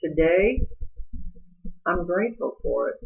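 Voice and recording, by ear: Speaking at a slow pace, a woman has a raspy voice with a slightly husky edge and vocal fry.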